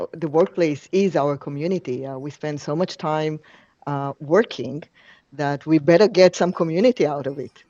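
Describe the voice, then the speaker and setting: A woman with a non-native accent speaks at a very deep, low pitch and a moderate pace. Her pitch varies in an ordinary way while her loudness swings widely. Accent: foreign. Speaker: company co-founder and CEO. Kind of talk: interview. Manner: frequent filler hesitations.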